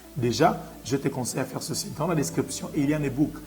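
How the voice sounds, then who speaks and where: Music plays behind a man speaking at a moderate pace. His voice is fairly high, with ordinary pitch variation. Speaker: business coach, online educator. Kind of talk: tutorial. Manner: calm.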